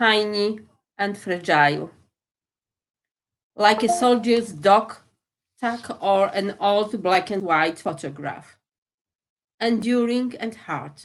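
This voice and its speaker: In a Polish accent, a woman speaks at a very slow pace and medium pitch, with long, frequent pauses. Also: ordinary pitch variation. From Poland. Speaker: poet. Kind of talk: poetry reading.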